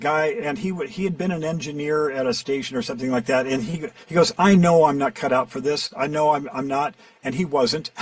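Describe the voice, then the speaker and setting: With lively intonation and a fairly high pitch, a man speaks at a moderate pace over noticeable background noise. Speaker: voiceover actor and coach. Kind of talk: interview answer.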